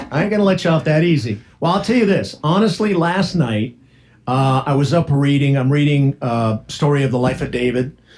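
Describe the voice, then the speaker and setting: With a plain, everyday voice, a man talks at a fairly quick pace and a fairly high pitch. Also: lively intonation, very even loudness. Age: 60s. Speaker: radio host. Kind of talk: casual chat. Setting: studio.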